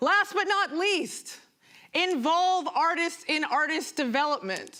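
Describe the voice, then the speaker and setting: A woman uses a raised, projected voice at an extremely high pitch with ordinary variation, her tone animated, bright and sharp. She speaks at a fairly slow pace with very even loudness. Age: 30s. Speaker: performance artist. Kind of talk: conference talk.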